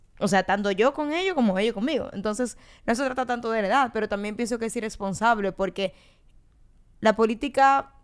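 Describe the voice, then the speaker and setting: On a very clean recording with a silent background, a woman with a plain, everyday voice speaks at a fairly quick pace with ordinary pitch variation. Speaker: political podcast co-host, party member. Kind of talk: casual political discussion.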